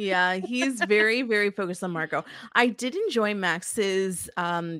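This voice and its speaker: The delivery is fairly slow, and the pitch varies in an ordinary way. Overall, it is a plain, everyday voice. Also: woman. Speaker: podcast co-host. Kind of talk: casual chat. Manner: chatty, upbeat, interrupts.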